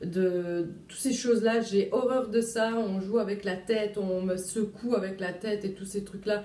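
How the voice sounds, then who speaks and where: A woman at a medium pitch, fairly slow with hardly any pauses, her loudness swinging widely. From Luxembourg, Italian family. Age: 20s. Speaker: vlogger, young mother. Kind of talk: casual vlog. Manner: hesitant, many fillers.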